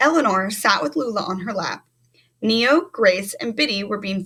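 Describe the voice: Lively intonation in plain reading aloud, set over a quiet background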